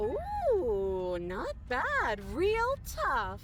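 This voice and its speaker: Over clear background noise, a woman performs a put-on character voice. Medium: video game. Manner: taunting, mocking.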